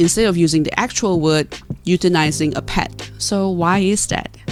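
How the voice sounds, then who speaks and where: Music plays in the background as a woman speaks. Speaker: university student. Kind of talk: argumentative speech presentation. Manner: unscripted, some stuttering.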